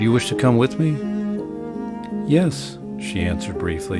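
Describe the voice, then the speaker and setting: A man speaks fairly slowly, with music in the background. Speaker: audiobook narrator. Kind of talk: horror story narration.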